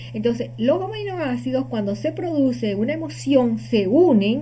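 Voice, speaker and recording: This woman speaks at a medium pitch. Audible room echo surrounds her voice. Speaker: holistic healing teacher. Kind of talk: lecture.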